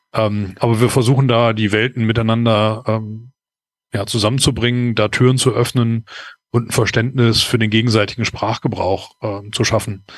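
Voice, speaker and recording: The delivery is monotone with flat intonation, moving at a moderate pace. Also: man, medium pitch for a man. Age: 40s. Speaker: process management consultant. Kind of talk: interview. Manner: hesitant, many filler sounds.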